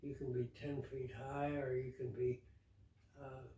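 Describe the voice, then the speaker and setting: Somewhat breathy and dark, mellow in tone, a man talks at a very slow pace. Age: 80s+. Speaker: pilot, former crop duster. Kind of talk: interview answer.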